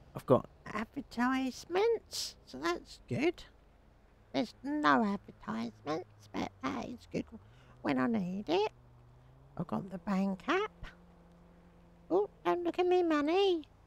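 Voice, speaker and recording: Using a put-on character voice, a woman speaks at a fairly high pitch with very wide pitch swings, a fairly slow pace and long, frequent pauses. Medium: game stream. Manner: rambling, chatty.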